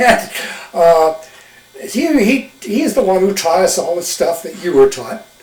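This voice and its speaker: A man's high-pitched voice at a fairly slow pace with lively intonation, amid noticeable background noise. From eastern Wyoming. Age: 80s+. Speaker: retired smokejumper. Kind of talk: oral history interview. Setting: videotaped interview. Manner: halting, with many fillers.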